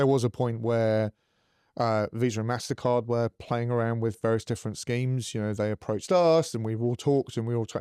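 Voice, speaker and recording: The voice has a dark, mellow tone and fairly even intonation at a fairly quick pace. The sound is dry and close with no echo, over a quiet background. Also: man, medium pitch for a man. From northern England, Middlesbrough. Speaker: fintech company founder and CEO. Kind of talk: podcast interview.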